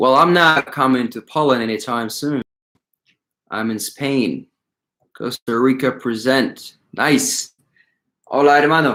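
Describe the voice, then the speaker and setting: A man of medium pitch speaks very slowly with vocal fry. His pitch varies in an ordinary way. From Ukraine. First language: not English. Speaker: calisthenics coach and YouTuber. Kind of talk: live stream Q&A chat.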